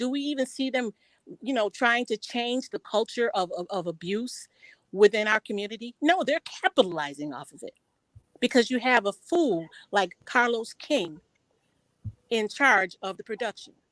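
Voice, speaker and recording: Lively intonation at a moderate pace, with long, frequent pauses, big swings in loudness and a dry, close sound with no echo. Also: woman, fairly high pitch for a woman. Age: 50s. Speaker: panelist on a commentary stream. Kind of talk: heated discussion. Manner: halting, repeating words.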